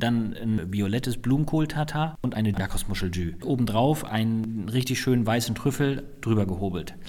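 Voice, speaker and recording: A man with an ordinary speaking voice, lively intonation and a moderate pace. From northern Germany, Flensburg. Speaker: chef and hotelier. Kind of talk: interview.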